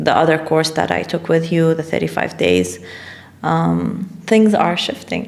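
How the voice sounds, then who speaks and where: Noticeable background noise sits behind a woman speaking at a moderate pace. Her pitch is very deep and low. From Middle East. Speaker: life coach and businesswoman. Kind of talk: podcast interview. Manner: casual, hesitant with fillers.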